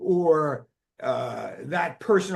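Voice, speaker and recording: A man speaks in a New Jersey accent. His intonation is lively. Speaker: psychiatrist, drug developer. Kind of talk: expert interview explanation.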